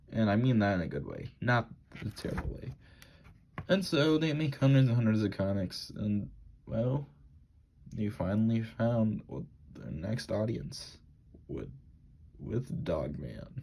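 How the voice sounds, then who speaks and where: At a fairly slow pace, a man with a dark, mellow tone and medium pitch makes very wide pitch swings between long, frequent pauses. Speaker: book reviewer. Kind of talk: casual unscripted review. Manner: stuttering, halting.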